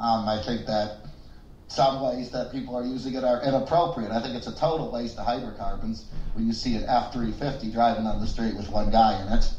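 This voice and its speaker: Audible room echo and noticeable background noise surround a medium-pitched man who speaks fairly quickly with fairly even intonation. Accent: American. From United States. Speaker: podcast co-host. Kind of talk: casual chat.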